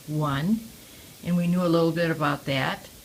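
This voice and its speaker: A woman speaks in an American accent with a very deep, low pitch. Her intonation stays fairly even. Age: 80s+. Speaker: war-era eyewitness. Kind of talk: oral history interview. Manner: halting, with frequent fillers.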